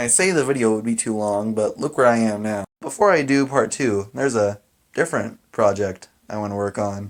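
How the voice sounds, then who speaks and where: Using a normal speaking voice, a man talks at a fairly quick pace, with a medium pitch and ordinary pitch variation. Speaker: animator and YouTuber. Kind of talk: casual vlog monologue.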